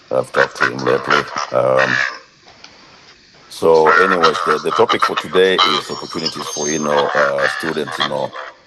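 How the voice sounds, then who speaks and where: Noticeable background noise accompanies a man who pauses long and often while keeping a moderate pace. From Kenya (Kisumu). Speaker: soccer coach. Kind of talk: casual talk. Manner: halting.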